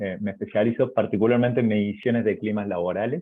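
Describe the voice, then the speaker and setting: A man with an Argentine accent speaks at a medium pitch. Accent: Argentine accent, noticeable in Chile. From Argentina, Córdoba province. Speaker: university professor and researcher. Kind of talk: webinar presentation. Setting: online webinar. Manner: hesitant with many fillers.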